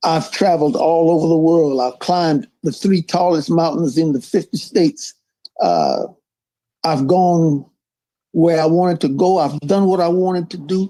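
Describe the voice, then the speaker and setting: A man with a Louisiana accent speaks in a high voice at a moderate pace. His loudness stays very even, and his pitch varies in an ordinary way. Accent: Louisiana Southern US. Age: 80s+. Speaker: politician. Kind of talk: interview.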